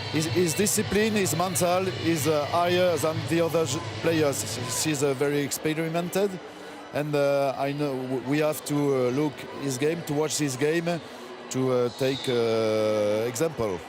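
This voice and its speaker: A man with a French accent speaks at a fairly high pitch and fairly slow pace, with ordinary pitch variation and very even loudness. Audible room echo and music sit in the background. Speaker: rugby league head coach. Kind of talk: post-match interview. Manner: halting.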